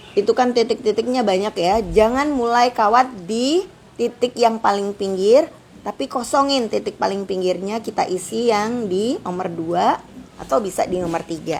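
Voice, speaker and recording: A woman's fairly high voice carries lively intonation while noticeable background noise sits beneath it. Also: moderate pace. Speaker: craft tutorial host. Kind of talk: live tutorial. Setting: livestream. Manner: chatty.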